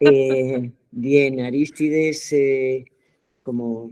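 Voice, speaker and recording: Very deep and low for a woman, her voice carries a dark, mellow tone. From Spain, Pamplona (Navarre). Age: 70s. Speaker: theatre actress and director. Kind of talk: workshop talk. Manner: hesitant, many fillers.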